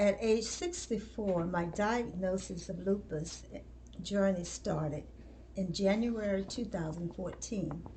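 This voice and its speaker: There is noticeable background noise and audible room echo as a woman speaks at a fairly slow pace. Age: 70s. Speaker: retiree and lupus patient. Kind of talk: personal testimony.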